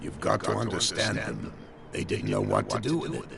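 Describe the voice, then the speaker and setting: A man puts on a character voice at a moderate pace, with clear background noise present. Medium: machinima. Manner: gruff, wry.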